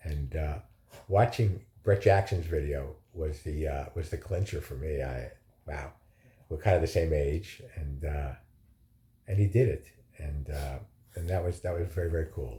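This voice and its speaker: A man speaks in a somewhat breathy voice with a very deep, low pitch and ordinary pitch variation. His pauses are long and frequent. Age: 60s. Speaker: vlogger recovering from surgery. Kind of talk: casual video diary. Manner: hesitant, many fillers.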